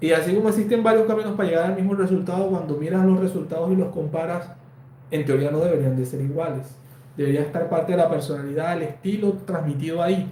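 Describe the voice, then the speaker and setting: A man's high-pitched voice at a very fast pace, with ordinary pitch variation, audible room echo and noticeable background noise. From Colombia, Valledupar. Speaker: embroidery designer and online teacher. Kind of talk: live stream Q&A. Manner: conversational, with fillers.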